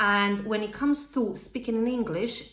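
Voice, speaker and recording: The woman has a slight non-native accent. Audible room echo surrounds her speech. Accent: slight foreign. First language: not English. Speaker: public speaking coach, property industry speaker. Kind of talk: tutorial.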